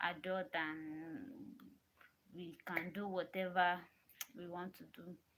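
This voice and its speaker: A woman speaks with a fairly low pitch and a bright, sharp tone. Her intonation stays fairly even. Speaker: vlogger. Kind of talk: casual monologue to camera. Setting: alone in a room. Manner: soft-spoken; repetitive, halting.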